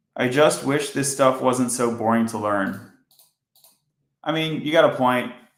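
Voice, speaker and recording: A man with a medium pitch speaks at a fairly slow pace with long, frequent pauses, and audible room echo around him. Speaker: software engineer streaming coding. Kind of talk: live coding stream. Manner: monotone.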